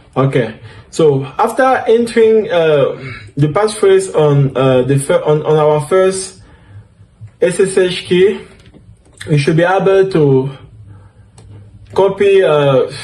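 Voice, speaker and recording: With a French accent, this dark, mellow voice talks at a very slow pace, leaving long, frequent pauses, keeping its loudness very even while the intonation stays lively. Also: man, high pitch for a man. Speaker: DevOps instructor. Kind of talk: tutorial. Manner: halting, with fillers.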